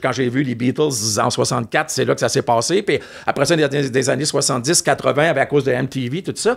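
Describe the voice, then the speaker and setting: Speaking with a Quebec accent, a man talks at a fairly quick pace, his fairly high pitch showing ordinary variation. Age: 60s. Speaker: music TV host and music expert. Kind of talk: casual chat.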